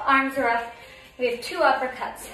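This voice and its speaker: A woman speaks in a high pitch at a fairly slow pace. Faint music plays in the background, and the room echo is audible. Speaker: fitness instructor. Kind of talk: workout instruction cues. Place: home room.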